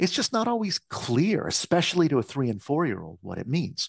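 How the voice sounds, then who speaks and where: Recorded dry and close with no echo, a man with an American accent speaks against a quiet background. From US Midwest, Michigan. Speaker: speech-language pathologist and researcher. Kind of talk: interview answers.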